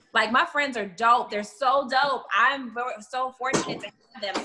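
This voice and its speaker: Using an unremarkable speaking voice, a woman talks at a moderate pace with ordinary pitch variation. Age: 30s. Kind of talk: casual chat.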